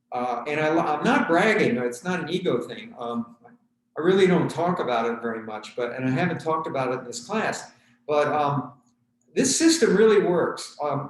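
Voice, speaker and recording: Audible room echo surrounds a man who talks at a moderate pace with very wide pitch swings. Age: 70s. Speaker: tai chi instructor. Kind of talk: fitness class instruction. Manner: halting.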